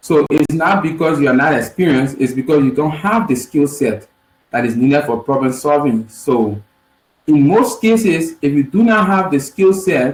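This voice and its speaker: Somewhat breathy and fairly high-pitched, a man with a Liberian accent speaks at a moderate pace with lively intonation and very even loudness. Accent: Liberian, lighter than usual. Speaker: software engineer teaching a coding session. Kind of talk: online lecture.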